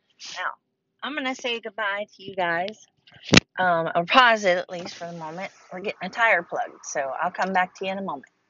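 A woman with an American accent talks at a fairly quick pace in an unremarkable speaking voice. Her pitch is medium with ordinary variation, and her loudness swings widely. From Ohio. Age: 40s. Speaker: podcast host. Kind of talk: casual chat. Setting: in a car.

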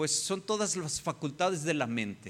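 A man with a high pitch and a bright, sharp tone talks at a fairly slow pace on a very clean recording with a silent background. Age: 50s. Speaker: pastor. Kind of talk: sermon.

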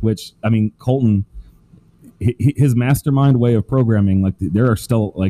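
A man speaks in a plain, everyday voice at very even loudness. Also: medium pitch for a man, ordinary pitch variation. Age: 30s. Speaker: strongman athlete. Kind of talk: casual chat.

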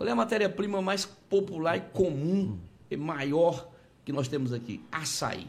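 A man talks fairly slowly with lively intonation and a fairly high pitch. Noticeable background noise runs underneath. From Conceição do Araguaia, Pará, northern Brazil. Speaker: politician, gubernatorial candidate. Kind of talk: interview.

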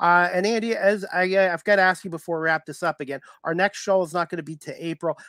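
This very fast speaker has a bright, sharp tone, captured in a very clean recording with a silent background. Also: man, high pitch for a man, fairly even intonation. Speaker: podcast host. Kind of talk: interview. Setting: live stream.

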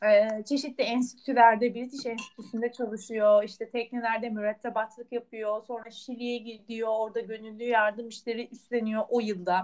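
Her pitch fairly high, a woman speaks with monotone, flat intonation. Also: moderate pace, hardly any pauses. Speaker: podcast co-host. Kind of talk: casual chat.

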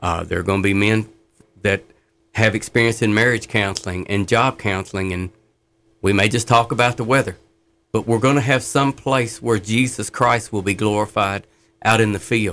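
A man with a plain, everyday voice, fairly low in pitch, with fairly even intonation at a moderate pace, in a very clean recording with a silent background. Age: 60s. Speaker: former inmate turned prison ministry worker. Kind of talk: testimony.

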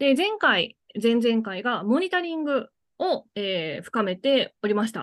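A woman with a fairly high pitch speaks at a fairly slow pace. Her pitch swings very widely, and the sound is dry and close with no echo. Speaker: podcast co-host, former banker. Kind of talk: casual chat. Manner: upbeat, high energy.

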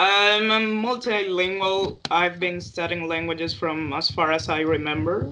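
Over noticeable background noise, a woman talks at a moderate pace in a fairly low pitch with ordinary pitch variation. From Paraguay. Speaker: online group moderator. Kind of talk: casual chat. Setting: online call.

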